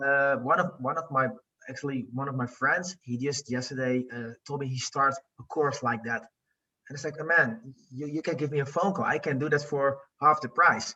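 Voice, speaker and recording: A man speaks with a Dutch accent and a fairly high pitch. His intonation is fairly even. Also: moderate pace. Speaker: coaching client, business owner. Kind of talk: interview. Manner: halting.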